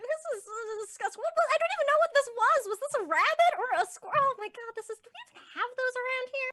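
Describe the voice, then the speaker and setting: A woman uses a squeaky, put-on character voice at an extremely high pitch. She speaks at a very fast pace with lively intonation and big swings in loudness. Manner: disgusted, grossed out.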